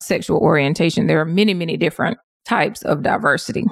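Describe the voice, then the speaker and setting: In a plain, everyday voice, a woman with an American accent talks at a moderate pace and a fairly low pitch. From US South. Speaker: diversity coach and consultant. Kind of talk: interview.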